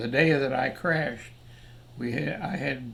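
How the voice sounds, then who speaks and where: Over noticeable background noise and audible room echo, a man with an American accent talks at a moderate pace with ordinary pitch variation. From United States. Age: 90s. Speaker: war veteran, former fighter pilot. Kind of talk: personal storytelling interview. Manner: halting, with many fillers and self-corrections.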